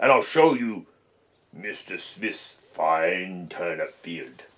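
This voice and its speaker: A man's raspy, put-on character voice at a medium pitch and a very slow pace. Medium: read story. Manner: scheming, falsely friendly.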